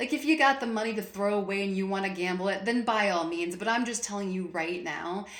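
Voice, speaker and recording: A woman talks at a fairly quick pace in a medium pitch with ordinary pitch variation, amid audible room echo and noticeable background noise. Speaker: VA claims advice youtuber. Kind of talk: casual vlog rant. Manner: loud; animated, passionate.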